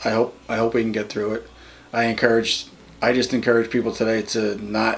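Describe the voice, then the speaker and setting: A man in an American accent, medium pitch, fairly quick pace and monotone, flat intonation, with noticeable background noise. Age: 50s. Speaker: interviewee. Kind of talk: interview. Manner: halting, with many repetitions.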